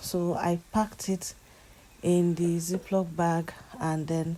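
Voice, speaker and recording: This woman's voice is fairly low in pitch. Her intonation stays monotone and flat. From Nigeria. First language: a Nigerian language, not English. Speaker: lifestyle vlogger. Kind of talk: casual vlog voiceover.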